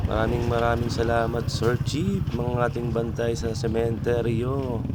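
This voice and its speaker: A man speaks with monotone, flat intonation amid audible room echo and noticeable background noise. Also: medium pitch for a man. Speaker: vlogger. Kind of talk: casual vlog narration. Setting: outdoors at a cemetery.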